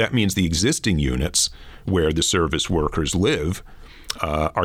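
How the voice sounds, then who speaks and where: With an American accent, a man speaks at a very deep, low pitch with ordinary pitch variation. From US, Flatbush, Brooklyn, New York. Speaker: economics professor. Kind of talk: interview.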